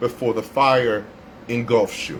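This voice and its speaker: A fairly slow delivery in an American accent, with noticeable background noise. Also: man. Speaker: radio host doing a solo livestream. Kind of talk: impromptu livestream rant. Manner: stuttering, repeating words; heated, emphatic.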